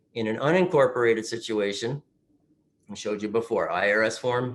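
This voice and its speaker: Male voice, medium in pitch, with lively intonation. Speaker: retirement plan specialist presenting to advisors. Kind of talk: webinar presentation. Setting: remote webinar. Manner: fast.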